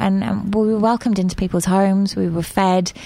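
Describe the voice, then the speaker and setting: With a southern English accent, a woman speaks with ordinary pitch variation. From southern England (Reading). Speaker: media producer and volunteer organiser. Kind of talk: radio interview. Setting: radio studio.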